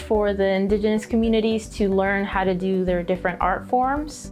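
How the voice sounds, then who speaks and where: The intonation stays fairly even throughout. Music plays in the background. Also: woman. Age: 20s. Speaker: artist and performer. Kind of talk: documentary interview answer.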